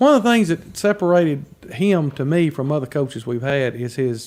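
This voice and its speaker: Here is a man with a fairly high pitch and a plain, everyday voice. His intonation is lively. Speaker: radio sports announcer, voice of a high school's teams. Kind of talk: casual radio interview answer.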